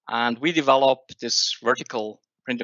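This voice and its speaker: This man talks at a fairly slow pace with a Swiss accent. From Switzerland. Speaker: software company owner and industry expert. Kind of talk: webinar presentation. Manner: halting, many fillers.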